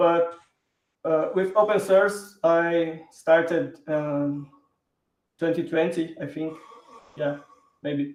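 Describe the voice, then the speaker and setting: Using a Brazilian Portuguese accent, a man talks at a very slow pace in a high pitch, with fairly even intonation and long, frequent pauses. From southern Brazil, Porto Alegre. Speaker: software engineer, open source contributor. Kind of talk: live stream interview.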